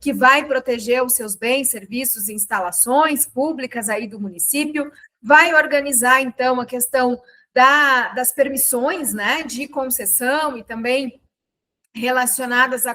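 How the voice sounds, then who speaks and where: Speaking at a very slow pace, a woman uses a high pitch and a bright, sharp tone, with big swings in loudness. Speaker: teacher. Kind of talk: lecture. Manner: casual, conversational.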